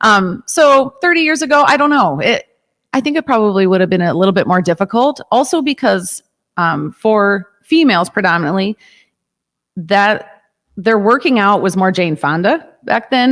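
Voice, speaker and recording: A woman with a Chicago accent speaks at a medium pitch, her loudness very even while her pitch swings very widely. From US Midwest, Chicago suburbs. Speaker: yoga and fitness studio owner. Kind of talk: casual interview.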